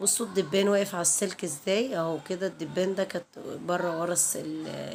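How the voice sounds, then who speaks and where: The speaker is a woman at a medium pitch. Vocal fry runs through her voice. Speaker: home vlogger. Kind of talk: casual vlog narration. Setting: at home. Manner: halting, with fillers.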